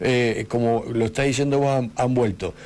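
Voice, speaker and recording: A man is speaking. His pace is moderate. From Argentina, Patagonia (Río Negro) from age eight, born in Buenos Aires. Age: 50s. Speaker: radio host. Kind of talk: radio interview. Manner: halting, with fillers and restarts.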